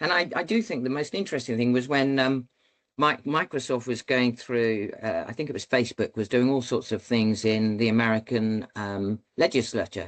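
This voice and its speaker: A man with a British accent speaks at a medium pitch and a moderate pace. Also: ordinary pitch variation. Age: 60s. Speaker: former military pilot, leadership speaker. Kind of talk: podcast interview. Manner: halting.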